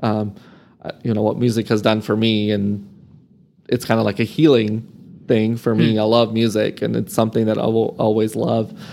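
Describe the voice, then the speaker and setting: A man with fairly low pitch and a dark, mellow tone speaks in a monotone, flat way at a moderate pace. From Serbia (born in Croatia), raised in Amarillo, Texas from age 10. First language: Serbian. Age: 30s. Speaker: nonprofit marketing professional. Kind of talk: interview conversation.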